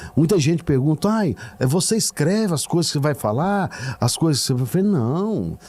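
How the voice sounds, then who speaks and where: Noticeable background noise lies beneath a man whose pitch swings very widely. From Goiás, Brazil. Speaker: radio announcer / radio presenter. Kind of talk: casual interview answer.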